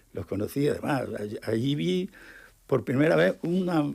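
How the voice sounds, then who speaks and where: Vocal fry marks a man's dark, mellow tone, which moves through very wide pitch swings. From Murcia, Spain. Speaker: painter and illustrator. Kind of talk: radio interview answer. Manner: enthusiastic.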